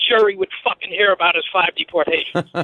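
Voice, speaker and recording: An angry tone in a Boston accent, fairly quick, with fairly even intonation. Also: man. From Boston area, Massachusetts. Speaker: caller. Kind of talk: call-in rant. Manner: angry, emphatic.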